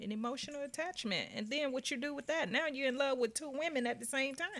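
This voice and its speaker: Through noticeable background noise, a woman speaks in a high pitch with lively intonation. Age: 50. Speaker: guest, host's sister. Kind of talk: casual chat.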